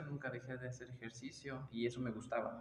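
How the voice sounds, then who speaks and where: Amid noticeable background noise, a man speaks at a moderate pace with a fairly high pitch. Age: 20s. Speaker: taekwondo and fitness instructor. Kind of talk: casual interview. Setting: taekwondo studio.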